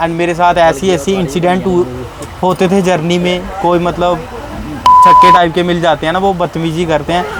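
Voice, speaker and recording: Over crowd noise in the background, a man with a high voice talks at a moderate pace. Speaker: travel vlogger. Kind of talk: interview answer.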